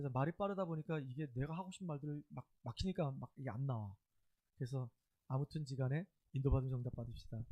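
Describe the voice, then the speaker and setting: Dry and close with no echo, a man's dark, mellow, somewhat breathy voice sits at a fairly high pitch with ordinary pitch variation, moving at a very fast pace broken by long, frequent pauses. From Chungcheong, South Korea. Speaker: pastor. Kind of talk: sermon. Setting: church.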